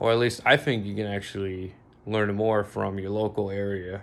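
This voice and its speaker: This is a man speaking. He has an American accent. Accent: American-sounding. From Bosnia. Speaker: vlogger. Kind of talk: casual monologue. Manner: halting, many fillers.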